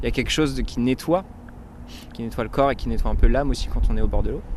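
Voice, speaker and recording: A man speaking at a fairly quick pace. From France, Touraine. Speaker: singer-songwriter. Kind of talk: casual interview. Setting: at home. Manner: hesitant.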